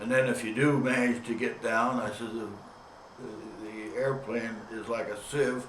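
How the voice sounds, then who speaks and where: Someone talks at a fairly slow pace with monotone, flat intonation, while audible room echo and noticeable background noise fill the recording. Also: man. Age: 90s. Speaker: war veteran. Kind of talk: testimony. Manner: halting.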